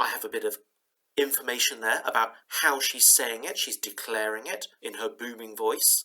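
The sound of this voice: Over a quiet background, the speaker reads in an unforced reading voice.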